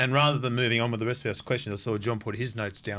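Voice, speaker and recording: Bright, sharp tone with an Australian accent. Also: man. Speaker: podcast co-host. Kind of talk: casual interview chat. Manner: animated.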